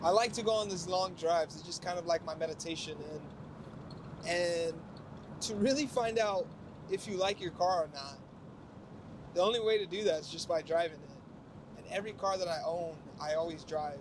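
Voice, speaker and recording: Speaking at a moderate pace, a man uses a high voice with big swings in loudness and long, frequent pauses. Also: ordinary pitch variation. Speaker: car vlogger. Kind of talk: casual vlog talk while driving. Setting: in a convertible car while driving. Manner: halting with repetitions.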